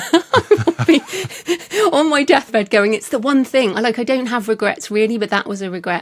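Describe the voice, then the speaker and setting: A woman with a British accent speaks at a fairly quick pace in a fairly high pitch, her intonation lively, over noticeable background noise. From England. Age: 50s. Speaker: author. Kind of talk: interview conversation.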